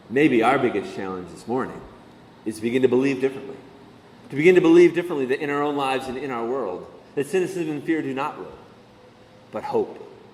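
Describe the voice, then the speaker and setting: A man with a fairly high pitch and lively intonation, very fast pace with long, frequent pauses, big swings in loudness, audible room echo. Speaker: pastor. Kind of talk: sermon.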